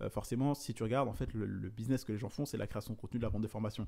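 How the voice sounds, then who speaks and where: At a very fast pace, a man speaks in a dark, mellow tone at a medium pitch with fairly even intonation, on a very clean recording with a silent background. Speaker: entrepreneur and content creator. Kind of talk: vlog monologue.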